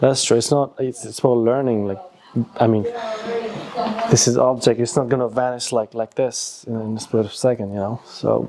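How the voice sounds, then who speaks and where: A man with a Nepali accent at medium pitch and moderate pace, fairly even intonation, with noticeable background noise. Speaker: YouTuber. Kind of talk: casual chat.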